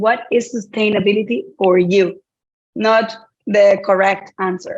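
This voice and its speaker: This woman speaks with a Dominican accent at a medium pitch. Her pace is moderate and her intonation fairly even. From Dominican Republic. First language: Spanish. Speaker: sustainability trainer. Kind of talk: online workshop.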